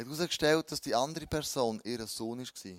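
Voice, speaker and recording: Here a man talks with ordinary pitch variation. The recording is dry and close with no echo, very clean over a silent background. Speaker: pastor. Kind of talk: sermon.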